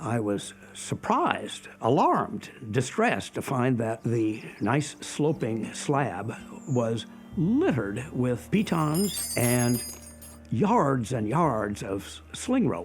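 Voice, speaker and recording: The speech moves at a very slow pace with very wide pitch swings. Music plays in the background. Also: man, medium pitch for a man. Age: 80s+. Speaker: veteran rock climber. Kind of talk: interview testimony. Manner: halting, with fillers and repeats.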